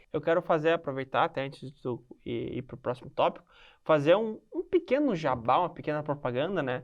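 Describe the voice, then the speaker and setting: Here a man speaks in an ordinary speaking voice. His pace is fairly quick. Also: fairly high pitch for a man, ordinary pitch variation. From southern Brazil, Rio Grande do Sul (Santa Maria). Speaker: podcast host. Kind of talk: podcast interview.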